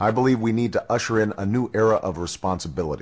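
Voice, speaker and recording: In a quiet background, an unremarkable speaking voice with an American accent moves at a moderate pace with lively intonation. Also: man. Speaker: presidential candidate. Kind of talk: political campaign speech.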